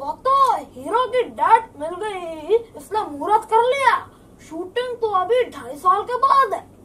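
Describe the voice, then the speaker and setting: The man's pitch sits extremely high. It is a put-on character voice. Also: moderate pace. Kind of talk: stand-up comedy storytelling.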